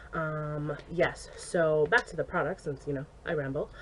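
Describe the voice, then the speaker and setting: Very slow, somewhat breathy speech from a woman. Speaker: beauty vlogger. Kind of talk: casual product review vlog.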